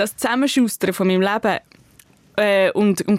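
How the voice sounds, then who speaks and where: A woman's medium-pitched voice at a moderate pace, dry and close with no echo, on a very clean recording with a silent background. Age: 30s. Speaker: author and journalist. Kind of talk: casual chat. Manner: hesitant, many fillers.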